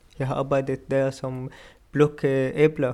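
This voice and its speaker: A man with an Arabic accent at a fairly slow pace, his intonation monotone and flat. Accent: Arabic-accented Danish. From Syria. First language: Arabic (speaking Danish). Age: 20s. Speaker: refugee, pastry chef student. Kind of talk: interview.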